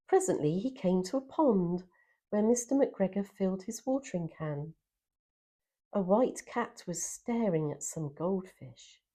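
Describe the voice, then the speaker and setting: A woman speaks at medium pitch and a fairly slow pace, somewhat breathy, with very wide pitch swings. Her tone is warm, gentle, dark and mellow, and the recording is very clean with a silent background. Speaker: storyteller. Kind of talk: children's story reading.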